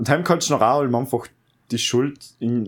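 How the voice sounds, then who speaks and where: Here a man speaks in an ordinary speaking voice at a medium pitch and a fairly quick pace. The recording is very clean and the background silent. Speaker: podcast host, recent school graduate. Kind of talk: casual chat.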